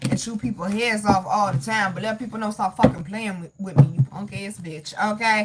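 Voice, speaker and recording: Over noticeable background noise, a woman with an American accent talks very fast at a fairly high pitch, her tone animated and her intonation lively. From US (mix of Southern and northern). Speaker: tarot reader / astrology content creator. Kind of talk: live-stream tarot reading with chat. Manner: animated, emphatic.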